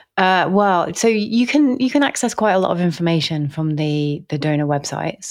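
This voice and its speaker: Speaking at a moderate pace with hardly any pauses, the voice carries an English accent and very wide pitch swings. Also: woman, fairly low pitch for a woman. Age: 40s. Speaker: nutrition and fertility chef. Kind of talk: casual interview chat. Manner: hesitant, many fillers.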